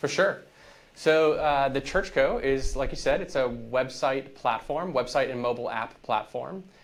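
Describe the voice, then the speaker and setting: With an American accent and a plain, everyday voice, a man speaks at a moderate pace in a fairly high pitch with ordinary pitch variation. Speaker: church tech company founder. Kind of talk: podcast interview.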